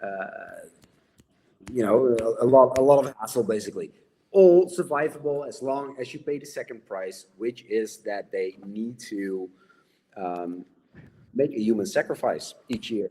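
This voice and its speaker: A medium-pitched man with lively intonation, big swings in loudness and long, frequent pauses. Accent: Dutch. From Netherlands. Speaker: horror novelist. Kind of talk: casual chat.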